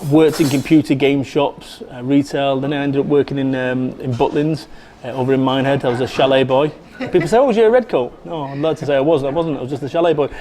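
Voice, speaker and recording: A man with a fairly high pitch rattles along very fast while noticeable background noise carries on. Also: ordinary pitch variation. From northern England, Salford, Manchester. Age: 40s. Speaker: motivational speaker. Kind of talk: interview. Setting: cafe. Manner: animated.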